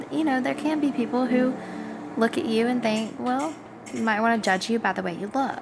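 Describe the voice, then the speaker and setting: A woman with a Southern US accent speaks at a fairly high pitch with lively intonation, music playing in the background. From US South. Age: 20s. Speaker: vlogger. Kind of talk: casual vlog monologue. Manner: hesitant with many fillers.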